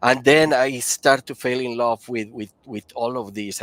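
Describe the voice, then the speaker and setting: Heard in a dry, close sound with no echo, a man with a Spanish accent talks at a fairly slow pace with fairly even intonation. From Colombia. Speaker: powder coating applicator and engineer. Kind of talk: interview. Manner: halting.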